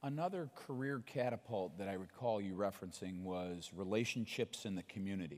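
The speaker talks at a fairly quick pace with hardly any pauses and ordinary pitch variation. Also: man, fairly low pitch for a man. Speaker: podcast host. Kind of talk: onstage interview. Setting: stage with audience. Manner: animated.

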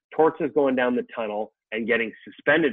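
In a normal speaking voice, a man with a Canadian accent talks at a moderate pace and a medium pitch. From Canada. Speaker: sports journalist. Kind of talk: casual interview.

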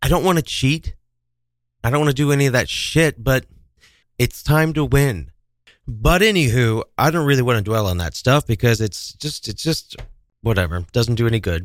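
Over a silent background on a very clean recording, a man speaks at medium pitch and moderate pace. His tone is animated and his intonation lively, with long, frequent pauses. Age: 30s. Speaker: radio host. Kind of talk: casual chat.

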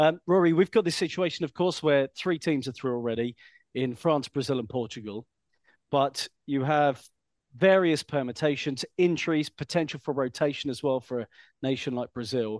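A man with an unremarkable speaking voice talks at a moderate pace in a fairly high pitch, recorded with dry, close sound, no echo and a quiet background. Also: ordinary pitch variation. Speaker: podcast host. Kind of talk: casual chat.

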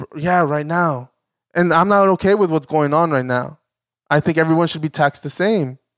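In a plain, everyday voice, a man speaks at a moderate pace with a fairly high pitch and ordinary pitch variation. The sound is dry and close with no echo, on a very clean recording with a silent background. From US, Mexican-American. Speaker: podcast co-host. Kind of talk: casual chat. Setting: home studio, video recorded.

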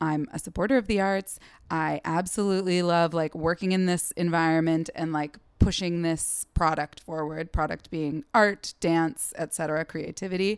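In a plain, everyday voice, a woman with an American accent speaks at a moderate pace, her fairly low pitch and fairly even intonation captured in a very clean recording with a silent background and a dry, close sound with no echo. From US Pacific Northwest, Seattle. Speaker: comedian. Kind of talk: casual chat.

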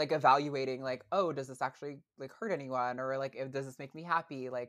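A woman with a very deep, low pitch at a fairly quick pace. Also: quiet background. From US Northeast, rural northern Vermont. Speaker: podcast co-host. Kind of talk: casual interview chat.

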